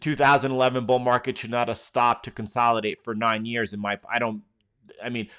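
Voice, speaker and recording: A man talks in a medium pitch with a New York accent and a bright, sharp tone. The recording is very clean, with a silent background. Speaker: market commentator.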